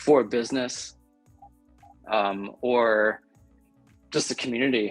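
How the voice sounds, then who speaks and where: Soft-spoken and at a medium pitch, a man talks with fairly even intonation over music in the background. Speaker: soap maker. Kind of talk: interview answer.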